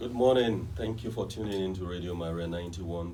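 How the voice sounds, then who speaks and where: A man's very deep, low voice with ordinary pitch variation, set against noticeable background noise. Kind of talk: radio talk show hosting.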